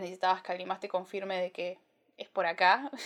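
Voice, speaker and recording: Monotone, flat intonation runs through speech that comes at a very fast pace. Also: woman. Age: 20s. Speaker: podcast host. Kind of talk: solo podcast monologue. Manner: casual with frequent fillers.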